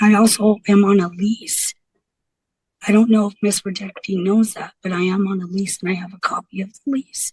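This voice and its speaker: A woman's somewhat breathy voice with monotone, flat intonation. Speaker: defendant in court hearing. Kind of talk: court testimony. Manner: halting.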